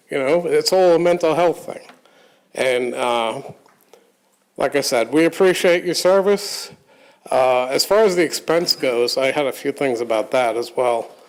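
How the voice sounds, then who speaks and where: A man with an unremarkable speaking voice talks at a moderate pace, his fairly high pitch showing ordinary pitch variation. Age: 60s. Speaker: public commenter, blind advocate. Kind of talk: public comment at board meeting. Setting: public board meeting.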